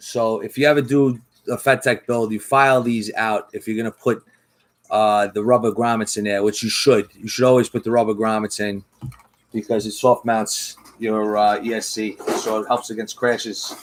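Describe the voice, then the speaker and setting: This man talks in a flat monotone at a moderate pace. His pitch is medium. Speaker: FPV drone builder streamer. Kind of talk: live-stream build tutorial. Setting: live stream at workbench. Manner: casual, chatty with fillers.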